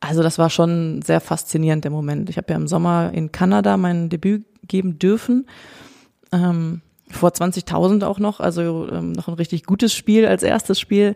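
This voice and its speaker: A woman speaks at a fairly low pitch with a dark, mellow tone. Her ordinary pitch variation sounds dry and close with no echo. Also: moderate pace. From Germany, Cologne. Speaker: professional footballer, goalkeeper. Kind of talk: interview.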